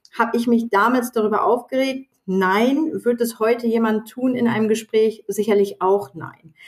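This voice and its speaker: A woman with a fairly high pitch speaks at a moderate pace with hardly any pauses. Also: ordinary pitch variation. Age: 40s. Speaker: sales professional and diversity ambassador. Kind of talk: interview. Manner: halting.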